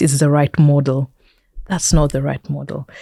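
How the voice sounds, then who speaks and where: A woman with a Kenyan accent speaks at a moderate pace in a very deep, low pitch, her tone dark and mellow. Her intonation is monotone and flat, with a dry, close sound and no echo. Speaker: technology entrepreneur and investor. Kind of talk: interview conversation.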